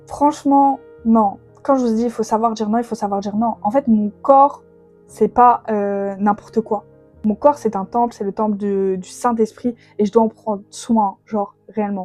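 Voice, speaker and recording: Over background music, a woman speaks fairly slowly with a fairly high pitch and fairly even intonation. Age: 20s. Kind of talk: faith podcast monologue. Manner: casual, hesitant with fillers.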